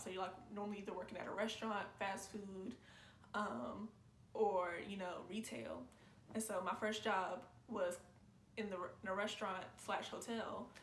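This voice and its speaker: Audible room echo surrounds a woman whose intonation stays fairly even. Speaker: YouTube reactor. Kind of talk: casual reaction commentary. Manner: calm, not loud; chill, low-energy.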